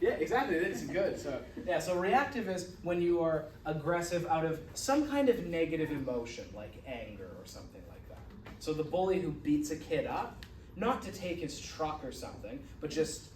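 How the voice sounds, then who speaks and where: Amid noticeable background noise and audible room echo, the speaker goes at a moderate pace with very wide pitch swings and big swings in loudness. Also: man. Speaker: college psychology instructor. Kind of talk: lecture. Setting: classroom with students.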